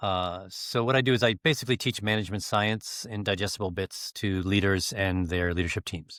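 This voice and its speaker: Recorded very cleanly over a silent background, a man with a very deep, low pitch speaks at a fairly quick pace in a dry, close sound with no echo. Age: 60s. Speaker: business growth coach. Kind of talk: interview.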